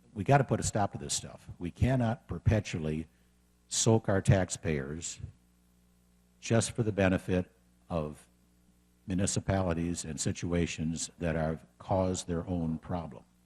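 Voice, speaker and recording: With an American accent, a man speaks in a very deep, low pitch and a dark, mellow tone at a fairly slow pace, with ordinary pitch variation, long, frequent pauses, and a dry, close sound with no echo. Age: 60s. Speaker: political candidate. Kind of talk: campaign speech.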